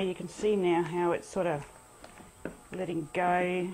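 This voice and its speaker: A woman at a moderate pace, fairly low-pitched, amid noticeable background noise. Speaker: home cook. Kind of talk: casual cooking demonstration.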